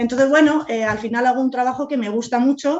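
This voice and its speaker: This woman has an ordinary speaking voice, pitched fairly high. Her pitch varies in an ordinary way. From Spain, Madrid. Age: 40s. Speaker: real estate agent and business owner. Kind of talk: interview.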